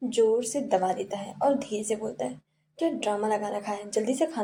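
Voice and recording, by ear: With a quiet background, the text is read aloud in a natural voice that shows ordinary pitch variation.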